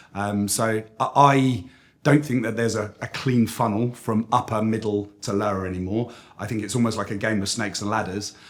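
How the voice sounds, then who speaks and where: A man speaks at a moderate pace with a British accent. His pitch is medium and his intonation fairly even. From United Kingdom. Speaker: agency CEO. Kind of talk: interview. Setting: industry conference.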